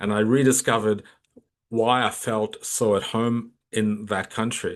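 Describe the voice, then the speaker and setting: Man with a strong Australian accent, medium pitch and monotone, flat intonation at a fairly slow pace. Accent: very Australian. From Australia (Melbourne), emigrated from Kolkata at 12. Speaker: leadership coach. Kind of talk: interview conversation.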